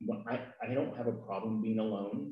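Soft-spoken and fairly low-pitched, a man speaks at a moderate pace with an American accent. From California. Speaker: guest, boyfriend of host. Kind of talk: casual chat. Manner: shy, quiet, soft-spoken.

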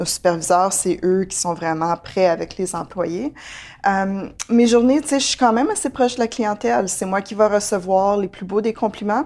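A woman with lively intonation and a medium pitch speaks at a moderate pace in a very clean recording against a silent background. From Ontario, Franco-Ontarian. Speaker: manager at a community health organization. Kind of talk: interview. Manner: halting, many fillers and repetitions.

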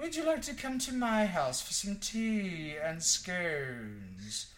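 A man puts on a character voice, pitched high and delivered at a fairly slow pace. Background noise is clear. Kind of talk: posh, polite. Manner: sweet, genteel.

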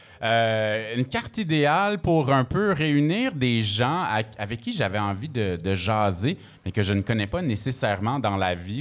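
This is an unremarkable speaking voice. The intonation is lively. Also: man. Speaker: radio host and DJ. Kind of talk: casual chat. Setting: stage with audience.

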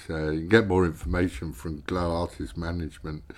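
Over a very clean recording with a silent background, a man with a British accent speaks in a very deep, low voice with ordinary pitch variation and a relaxed tone. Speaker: radio host. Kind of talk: radio show presenting. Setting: radio studio broadcast. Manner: relaxed, casual, hesitant with fillers.

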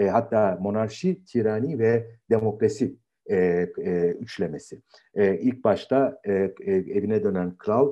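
Here a man talks at a very slow pace. His pitch is fairly low, with ordinary variation. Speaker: philosophy professor. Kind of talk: lecture. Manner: halting.

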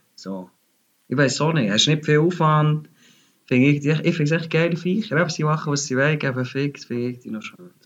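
Someone speaks with a Bernese accent against a quiet background. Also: man, fairly high pitch for a man, ordinary pitch variation, fairly quick pace. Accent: Bernese Swiss German. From Bern, Switzerland. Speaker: music industry employee. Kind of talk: casual chat. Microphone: unstable internet connection.

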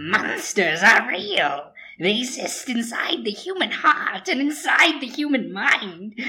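A woman speaks at a fairly slow pace with a fairly high pitch. Her pitch swings very wide. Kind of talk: ominous horror narration. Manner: grave, portentous.

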